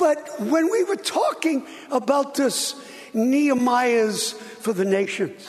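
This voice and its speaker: A man with an American accent speaks at an extremely high pitch, very slowly and at very even loudness. His intonation is lively, and there is noticeable background noise. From USA. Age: 70s. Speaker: preacher. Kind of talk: sermon. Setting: church.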